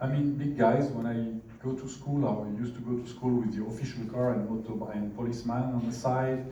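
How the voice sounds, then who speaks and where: There is audible room echo as a man speaks with a French accent. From France. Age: 50s. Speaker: business executive. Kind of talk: seminar talk. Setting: stage with audience. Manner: animated.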